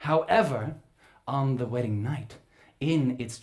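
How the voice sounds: A natural voice reads here, its pitch moving in an ordinary way.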